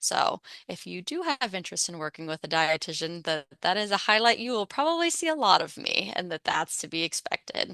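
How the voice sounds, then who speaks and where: With an American accent, a woman speaks at a fairly quick pace with hardly any pauses, medium pitch and lively intonation. Her tone is bright and sharp, the sound dry and close with no echo. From Pittsburgh, Pennsylvania. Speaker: registered dietitian. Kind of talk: presentation with Q&A. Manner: fast.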